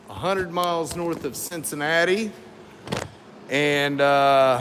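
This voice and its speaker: A man with an American accent and a fairly high pitch speaks at a very slow pace with ordinary pitch variation. Noticeable background noise and audible room echo fill the recording. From US South (Florida, Tennessee, Kentucky). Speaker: auto body and welding fabricator. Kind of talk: casual shop talk while working, answering viewers.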